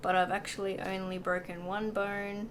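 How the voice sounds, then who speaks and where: Medium-pitched speech from a woman at a fairly slow pace, with audible room echo. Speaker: vlogger. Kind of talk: casual chat. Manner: hesitant, many fillers.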